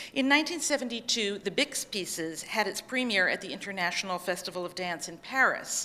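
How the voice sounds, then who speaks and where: A woman with a normal speaking voice at medium pitch talks with lively intonation, hardly any pauses, and big swings in loudness. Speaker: dance historian presenting a paper. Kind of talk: conference paper reading. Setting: conference session with audience.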